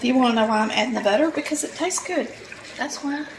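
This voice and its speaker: A woman with an American accent speaks at a high pitch with lively intonation. Noticeable background noise runs under her voice. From Polk County, Georgia, US. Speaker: home cook, cooking channel host. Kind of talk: casual cooking tutorial talk to camera.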